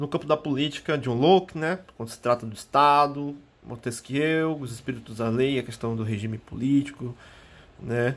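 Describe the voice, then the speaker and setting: At a moderate pace, a man in an unremarkable speaking voice keeps a medium pitch with ordinary variation and big swings in loudness, in a very clean recording with a silent background. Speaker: history teacher. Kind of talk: lecture.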